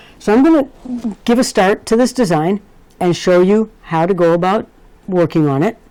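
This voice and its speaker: At a moderate pace with long, frequent pauses, a woman speaks at medium pitch in a dark, mellow tone, her intonation lively and her loudness very even. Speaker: embroidery digitizing teacher. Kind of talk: tutorial. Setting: recording of a live video for students.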